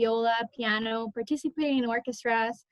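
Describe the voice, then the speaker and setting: A woman speaks at a moderate pace with ordinary pitch variation. The sound is dry and close, with no echo. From Honduras. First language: Spanish. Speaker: college student, scholarship recipient. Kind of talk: interview answer; prepared personal speech.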